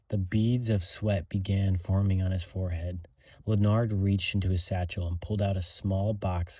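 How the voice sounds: Someone reads in a natural reading voice with fairly even intonation.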